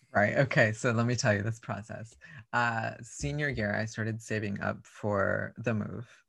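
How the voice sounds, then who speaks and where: In an American accent, a man with an ordinary speaking voice talks at medium pitch and a moderate pace, his intonation fairly even. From South Texas. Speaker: drag performer. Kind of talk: casual chat.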